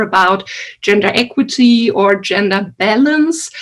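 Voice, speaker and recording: This woman speaks with a non-native accent. Her pitch is fairly high. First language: not English. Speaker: researcher and event organizer. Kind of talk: welcome speech. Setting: video call.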